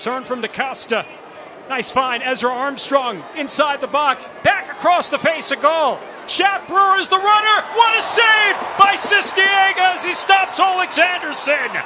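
Over noticeable background noise, a man with an extremely high pitch and lively intonation speaks at a fairly slow pace. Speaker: play-by-play commentator. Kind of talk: live sports commentary. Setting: broadcast booth.

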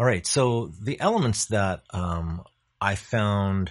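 There is a quiet background as a man talks, his pitch varying in an ordinary way. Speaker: presenter. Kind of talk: presentation talk. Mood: warm, proud.

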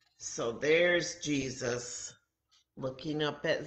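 Speaking at a very slow pace, a woman uses a low pitch with ordinary pitch variation, and the room echo is audible.

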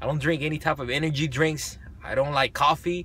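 A man speaks at a moderate pace with vocal fry. The sound is dry with no echo. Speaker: fitness vlogger. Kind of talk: casual vlog chat. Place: car. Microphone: phone near.

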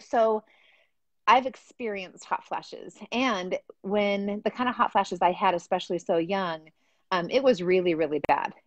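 A woman at a moderate pace with ordinary pitch variation, dry sound with no echo, and a quiet background. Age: 40s. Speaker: hormone health coach. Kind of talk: casual chat. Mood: earnest, animated. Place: home room. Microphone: video call.

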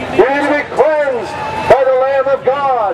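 Over crowd noise in the background, a man is speaking. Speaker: street preacher. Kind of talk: open-air sermon. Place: stadium.

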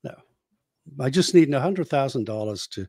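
At a moderate pace and medium pitch, a man speaks with lively intonation, the sound dry with no echo and the background quiet. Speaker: podcast co-host, former radio host. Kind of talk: casual comedic chat. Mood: joking, opinionated. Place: home room. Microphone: studio mic.

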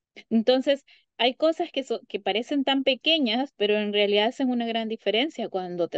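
A woman uses an unremarkable speaking voice at a moderate pace with lively intonation. The sound is dry with no echo, over a quiet background. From Honduras. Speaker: psychologist; guest. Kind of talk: interview. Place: home room. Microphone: video call.

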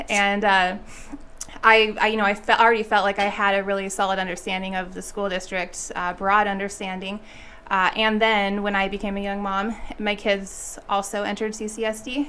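A woman's medium-pitched voice, bright and sharp in tone, with monotone, flat intonation and light background noise. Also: moderate pace. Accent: American. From Las Vegas, Nevada. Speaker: school board trustee. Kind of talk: interview. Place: studio. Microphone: studio mic.

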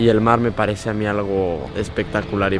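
A man's fairly low, monotone, flat delivery, the sound dry with no echo, over noticeable background noise. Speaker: vlogger. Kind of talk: casual vlog chat. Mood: calm, reflective, sentimental. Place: beach. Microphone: phone near.

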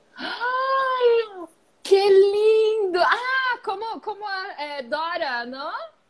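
Through noticeable background noise, a woman speaks very slowly in an extremely high voice with very wide pitch swings. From Brazil. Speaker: origami live-stream host. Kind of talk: casual live-stream chat. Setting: Instagram live video. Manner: halting, mixing languages. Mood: cheerful, laughing. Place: home room. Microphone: earbuds.

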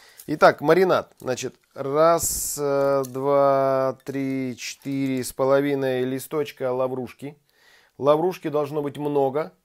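A man talks at a very slow pace in a monotone, flat intonation. The background is quiet. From Siberia, Krasnoyarsk. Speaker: chef, cooking video host. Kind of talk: cooking tutorial. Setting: home kitchen. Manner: casual, chatty. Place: kitchen.

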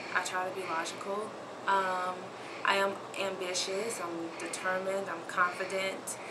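A woman talks fairly slowly while loud noise fills the background. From Memphis, Tennessee. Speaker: aspiring model. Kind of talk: audition tape talk to camera. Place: home room. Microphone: camera far.

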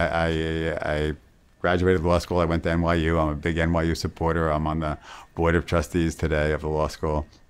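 A low-pitched man talks at a moderate pace in a clear, smooth tone.

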